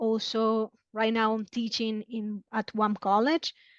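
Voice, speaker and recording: A woman with a Spanish accent speaks at a fairly slow pace and a fairly high pitch. The sound is dry and close with no echo, over a quiet background. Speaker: marketing specialist. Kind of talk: podcast interview. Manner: halting, many fillers.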